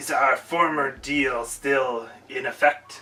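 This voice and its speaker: A man in a put-on character voice, fairly high-pitched and at a fairly slow pace. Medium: actual play. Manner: formal.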